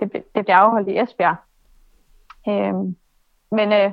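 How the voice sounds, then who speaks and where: Her voice sits at a medium pitch. The woman talks fairly slowly. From Denmark, Aalborg (North Jutland). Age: 20s. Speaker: obstacle course racer and personal trainer. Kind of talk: interview. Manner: hesitant, many filler sounds.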